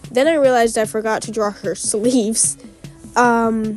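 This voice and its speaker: Music sits in the background as the speaker moves at a moderate pace with fairly even intonation. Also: woman. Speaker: fan comic artist. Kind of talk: casual speed paint commentary. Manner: hesitant, lots of fillers.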